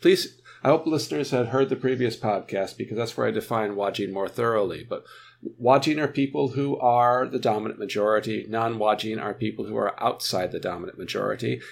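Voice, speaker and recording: On a very clean recording with a silent background, a man with an American accent speaks fairly quickly at a medium pitch, with vocal fry and ordinary pitch variation. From United States. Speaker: author and scholar on racial discrimination. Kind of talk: interview.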